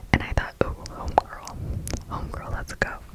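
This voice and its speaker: Noticeable background noise surrounds a woman who is whispering. Her tone is relaxed. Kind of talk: ASMR chat while doing nails. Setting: close-mic ASMR recording. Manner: whispered, soft, relaxed.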